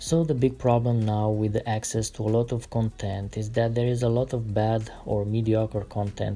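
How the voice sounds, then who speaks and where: Somewhat breathy, a man speaks with an Eastern European accent. His pace is moderate and his pitch fairly low. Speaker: artist sketching concept cars. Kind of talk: relaxed drawing tutorial with commentary. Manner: calm, relaxed.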